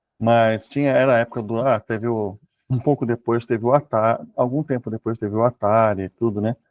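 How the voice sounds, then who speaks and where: A man speaks with medium pitch at a moderate pace. His intonation is fairly even in an unremarkable speaking voice. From Brazil. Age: 60s. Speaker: author and programmer. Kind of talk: interview conversation.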